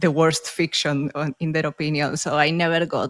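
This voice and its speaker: Recorded dry and close with no echo, a woman with a Spanish accent speaks at a fairly slow pace in a fairly low voice. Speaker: author and podcaster. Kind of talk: casual interview chat.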